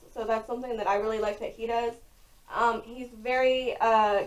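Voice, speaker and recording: A woman's high pitch with fairly even intonation. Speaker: lifestyle vlogger. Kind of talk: casual vlog talk. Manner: loud; casual with many fillers.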